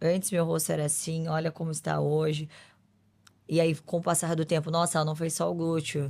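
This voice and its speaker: A woman speaks fairly quickly in a very deep, low voice with monotone, flat intonation. The recording is very clean, with a silent background. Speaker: beauty pageant winner and influencer. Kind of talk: podcast interview.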